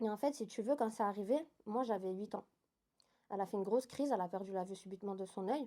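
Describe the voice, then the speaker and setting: A woman with a dark, mellow tone and ordinary pitch variation at a very fast pace, on a very clean recording with a silent background. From Switzerland. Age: 20s. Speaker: interview guest. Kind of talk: testimony.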